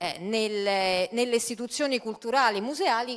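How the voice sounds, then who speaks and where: Against a quiet background, a woman speaks in a fairly high pitch. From Italy. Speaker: party culture and tourism spokesperson; tourism spokesperson. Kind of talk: panel debate. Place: stage. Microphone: handheld.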